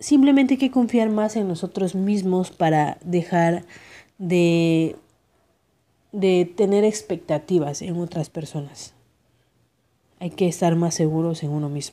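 A woman's fairly low, dark and mellow voice, at a fairly slow pace with long, frequent pauses and ordinary pitch variation. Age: 30s. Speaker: podcast host. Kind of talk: motivational monologue.

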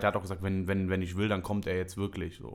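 The voice belongs to a man. His delivery is flat and monotone. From Germany, Düsseldorf. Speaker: podcast host and comedy show organizer. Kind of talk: casual chat.

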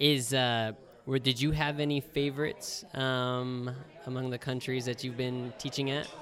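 Noticeable background noise sits behind a man with an American accent. He talks at a fairly slow pace with monotone, flat intonation. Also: medium pitch for a man. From United States. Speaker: travel podcast host, English teacher. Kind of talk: casual interview chat. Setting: outdoors at open-air hostel.

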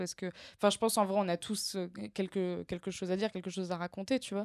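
Medium in pitch, a woman speaks at a fairly quick pace with monotone, flat intonation, in a very clean, dry and close recording with no echo and a silent background. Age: 20s. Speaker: comedian and screenwriter. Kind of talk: casual interview chat. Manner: halting.

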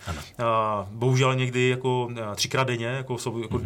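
Here a man speaks at medium pitch. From Czech Republic, Ostrava region (Orlová). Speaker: bank chief economist. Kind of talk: interview. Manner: fast.

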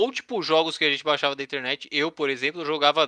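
A man speaks with a bright, sharp tone at a fairly high pitch, his voice dry and close with no echo on a very clean recording against a silent background. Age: 20s. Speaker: podcast co-host. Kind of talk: casual chat.

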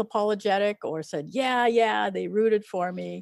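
A woman with a Canadian accent speaks at a moderate pace and medium pitch in a normal speaking voice. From Quebec, Eastern Townships. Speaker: ecologist and novelist. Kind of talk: interview.

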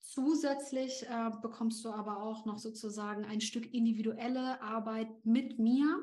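The voice comes with fairly even intonation and hardly any pauses, with audible room echo and noticeable background noise. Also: woman, fairly high pitch for a woman. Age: 30s. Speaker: LinkedIn coach and founder. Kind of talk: podcast interview.

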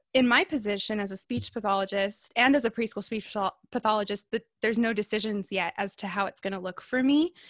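A woman's voice, dry and close with no echo. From Southern California, Inland Empire. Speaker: speech language pathologist. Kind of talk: casual chat. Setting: video call.

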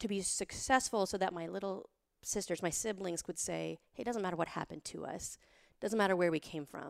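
In an ordinary speaking voice with an American accent, a woman of medium pitch talks at a fairly quick pace with ordinary pitch variation, on a very clean recording with a silent background. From Montana, US. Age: 40s. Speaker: author and financial advisor. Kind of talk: interview conversation.

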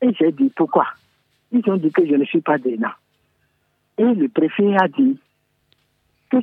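A man at a fairly slow pace, high in pitch, with very wide pitch swings. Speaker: caller. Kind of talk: radio phone-in call. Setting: phone call.

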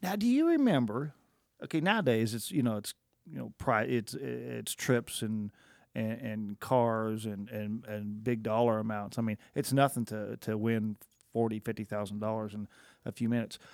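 Captured in a very clean recording with a silent background, a man with an American accent uses an ordinary speaking voice at a medium pitch, with ordinary pitch variation and a moderate pace. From Oklahoma. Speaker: podcast co-host. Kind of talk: casual chat. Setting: studio.

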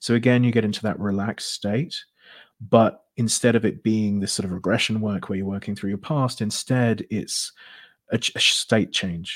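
Someone speaks with a British accent and fairly even intonation. The recording is very clean with a silent background. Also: man, fairly low pitch for a man, moderate pace. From Britain. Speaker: hypnotherapist. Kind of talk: interview.

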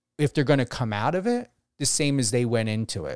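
Recorded very cleanly against a silent background, a man at medium pitch swings his pitch very widely, with a dry, close sound and no echo. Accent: New Jersey. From New Jersey, US. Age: 40s. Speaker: radio host. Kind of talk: radio interview.

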